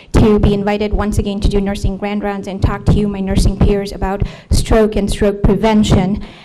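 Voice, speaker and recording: A woman with a medium-pitched voice speaks fairly quickly, with audible room echo and noticeable background noise. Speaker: nurse practitioner. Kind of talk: lecture. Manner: soft-spoken.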